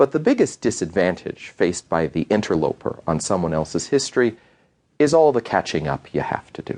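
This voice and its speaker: A man with an American accent, vocal fry and very wide pitch swings at a fairly quick pace, in a dry, close sound with no echo over a quiet background. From United States. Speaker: history professor. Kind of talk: lecture.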